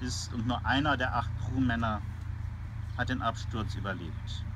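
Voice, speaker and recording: A man speaks in a bright, sharp tone. There is audible room echo. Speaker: military chaplain. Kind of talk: sermon.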